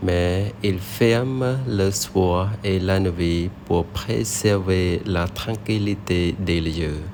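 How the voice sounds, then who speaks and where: Very deep, low male pitch in a Cambodian accent, at a very slow pace with hardly any pauses, ordinary pitch variation and noticeable background noise. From Cambodia, Siem Reap region. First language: Khmer (speaking French). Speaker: French learner, vlogger. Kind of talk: scripted narration.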